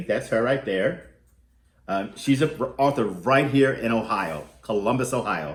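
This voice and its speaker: A man speaks at a medium pitch with vocal fry and lively intonation. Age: 60s. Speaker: youth program arts teacher. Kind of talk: reading aloud to children. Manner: halting.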